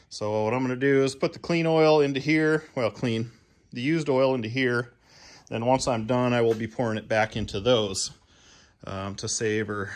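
The speaker is a man with ordinary pitch variation. He talks at a fairly quick pace. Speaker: DIY tractor owner. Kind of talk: tutorial. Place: garage. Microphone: phone near.

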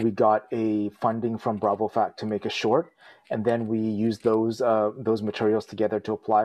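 A man's fairly low voice at a moderate pace, in a monotone with flat intonation. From small rural community in Canada. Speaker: filmmaker and photojournalist. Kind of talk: casual interview. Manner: halting, many fillers. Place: home room. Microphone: earbuds.

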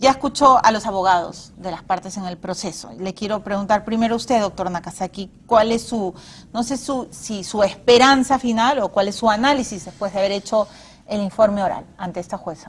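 A woman speaks somewhat breathily at a moderate pace. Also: ordinary pitch variation. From Peru. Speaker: TV interviewer. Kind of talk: TV interview. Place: studio.

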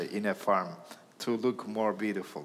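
A man with a Turkish accent, vocal fry, medium pitch and a moderate pace. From Turkey. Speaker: diplomat; panelist. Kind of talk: panel discussion. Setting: stage with audience. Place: hall. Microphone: headset.

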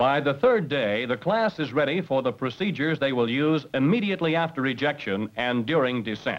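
An ordinary speaking voice from a man, fairly high-pitched, with lively intonation and hardly any pauses. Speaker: instructor narrator. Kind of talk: vintage training film narration. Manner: formal, brisk and authoritative; measured, instructional delivery.

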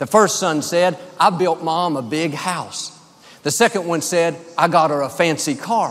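At a fairly slow pace, the speaker talks in an American accent with ordinary pitch variation. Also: man, high pitch for a man. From United States. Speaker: preacher. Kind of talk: sermon delivered to a congregation. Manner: warm, friendly, upbeat. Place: hall. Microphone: headset.

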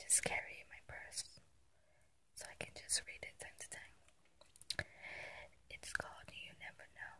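A woman whispers at a fairly slow pace, her loudness swinging widely between long, frequent pauses. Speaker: ASMR creator. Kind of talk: poetry reading. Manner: whispered, soft-spoken. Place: car. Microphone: phone near.

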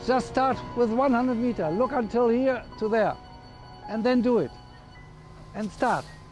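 A man speaks at an extremely high pitch and a fairly slow pace, with fairly even intonation. Long, frequent pauses break it up, with music in the background. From Germany. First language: German. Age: 60s. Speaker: marathon runner. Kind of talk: interview answer.

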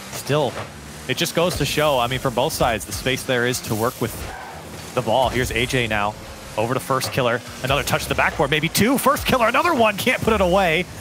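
A man at medium pitch, with lively intonation and an animated tone, music in the background. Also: fairly quick pace. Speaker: esports commentator. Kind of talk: live esports commentary. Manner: animated, fast-paced play-by-play.

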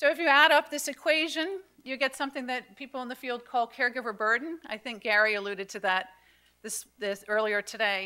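A woman talks fairly quickly in a high-pitched voice with a bright, sharp tone. Her loudness swings widely against a quiet background. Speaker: conference presenter. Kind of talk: lecture. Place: hall.

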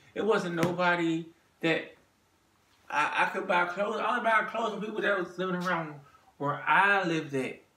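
With an American accent, this speaker goes at a moderate pace with ordinary pitch variation, and audible room echo surrounds the voice. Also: man. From Maryland. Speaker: vlogger. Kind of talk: monologue to camera. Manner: halting. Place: home room. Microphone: phone near.

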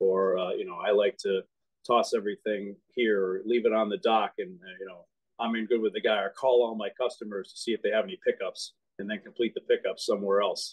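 In an American accent, a man talks at a fairly quick pace with big swings in loudness over a quiet background. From Boston. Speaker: union representative. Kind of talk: interview. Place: home room. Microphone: phone near.

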